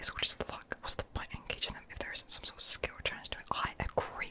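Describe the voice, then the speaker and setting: Someone whispers at a fairly quick pace. Noticeable background noise is present. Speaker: ASMR creator playing a visual novel. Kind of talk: whispered game playthrough reading dialogue. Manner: whispering.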